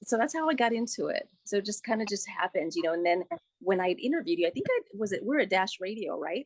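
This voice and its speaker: A woman talks at a very fast pace with very wide pitch swings, in a dry, close sound with no echo. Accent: Spanish. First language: Spanish. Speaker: radio producer and host. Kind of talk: interview. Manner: casual, many fillers.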